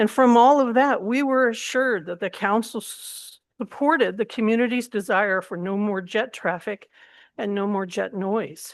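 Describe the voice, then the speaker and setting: With ordinary pitch variation and a moderate pace, a woman talks over a quiet background. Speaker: public commenter, local resident activist. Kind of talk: public comment at a government meeting. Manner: halting, stumbles on words.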